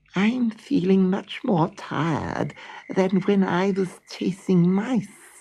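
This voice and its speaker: This put-on character voice sits at a middle pitch and moves at a very slow pace. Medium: read story. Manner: complaining.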